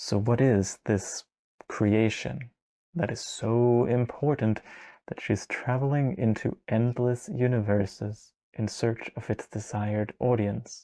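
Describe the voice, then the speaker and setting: A man's medium-pitched, dark, mellow voice at a very slow pace, fairly even in intonation, in a dry, close sound with no echo and a quiet background. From Denmark. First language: Danish. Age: 20s. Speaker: video essayist. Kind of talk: video essay narration. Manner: casual, conversational.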